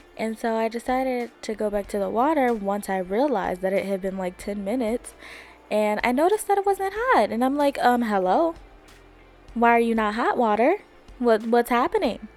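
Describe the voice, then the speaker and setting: Over music in the background, a woman talks with lively intonation at a fairly high pitch. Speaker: podcast host. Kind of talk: casual chat. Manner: loud; fast.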